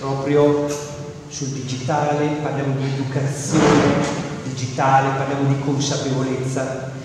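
With strong room echo and noticeable background noise, a man speaks at a moderate pace in a monotone, flat intonation and a fairly high pitch. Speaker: school principal. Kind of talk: welcome speech. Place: hall. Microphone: camera far.

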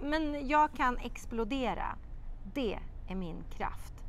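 The tone is dramatic, with lively intonation. Light background noise sits underneath. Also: woman. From Sweden. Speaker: children's TV presenter and writer; TV presenter. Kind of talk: expressive children's audiobook reading aloud, voicing characters. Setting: outdoor courtyard. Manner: lively storytelling cadence with dramatic pauses; animated character voices in dialogue. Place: garden. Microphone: lapel.

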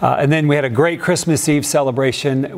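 Against a quiet background, a man speaks at a fairly quick pace. His intonation stays fairly even. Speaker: pastor. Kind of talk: sermon. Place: church. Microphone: lapel.

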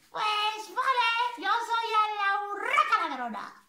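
In a cartoonish character voice, a woman speaks at an extremely high pitch and a very slow pace, with audible echo. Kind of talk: children's story reading. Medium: puppet.

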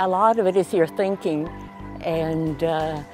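A fairly low-pitched woman's voice, dry with no echo, over clear music in the background. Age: 80s+. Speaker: marathon runner. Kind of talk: interview answer. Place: garden. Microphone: lapel.

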